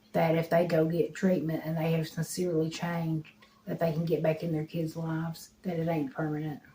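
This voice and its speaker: Talking at a fairly quick pace, a woman with an Appalachian accent keeps a fairly low pitch and a monotone, flat intonation. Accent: Appalachian Southern US. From eastern Kentucky, Harlan County. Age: 40s. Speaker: recovering addict. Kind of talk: interview testimony.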